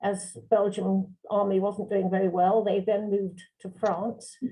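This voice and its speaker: At a fairly slow pace, a woman speaks in a somewhat breathy, dark, mellow voice of medium pitch with monotone, flat intonation. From London, England. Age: 80s+. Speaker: barrister and journal editor. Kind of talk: interview. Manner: hesitant.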